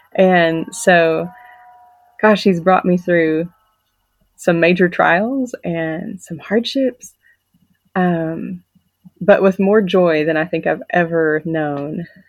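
Pausing long and often, a woman speaks at a very slow pace. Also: fairly low pitch for a woman, ordinary pitch variation. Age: 30s. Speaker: homeschooling mother sharing testimony. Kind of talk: testimony.

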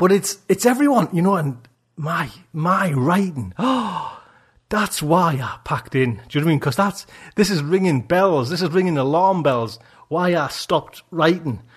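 Against a quiet background, a man talks at a moderate pace in a high voice with lively intonation. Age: 40s. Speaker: podcast host. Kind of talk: casual chat. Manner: animated.

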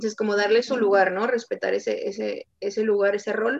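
A woman speaks in an unremarkable speaking voice. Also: dry, close sound with no echo. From Tijuana, Baja California, Mexico. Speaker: sports psychologist. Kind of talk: interview.

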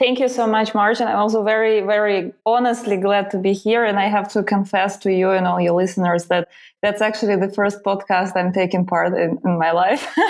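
With a Russian accent, a woman talks at a fairly quick pace and medium pitch, with fairly even intonation, very even loudness, and hardly any pauses. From Russia, Siberia. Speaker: PR consultant and platform founder. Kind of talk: interview.

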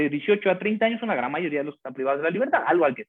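Very wide pitch swings in a man's speech. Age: 40s. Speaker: criminal lawyer. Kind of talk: interview.

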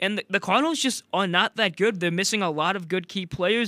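A man with an American accent projects a raised, high-pitched voice with a bright, sharp tone at a fairly quick pace. The sound is dry and close with no echo, on a very clean recording with a silent background. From US Midwest, St. Louis. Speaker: college student guest co-host. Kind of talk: casual sports talk.

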